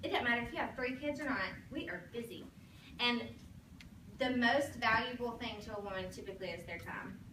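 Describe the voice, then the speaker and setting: A woman with an American accent speaks at a fairly quick pace, her pitch high and its variation ordinary. Long, frequent pauses break up her speech, and there is noticeable background noise along with audible room echo. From Alabama, US South (Sylacauga). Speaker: sales director, motivational speaker. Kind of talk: motivational talk to a sales team. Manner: animated.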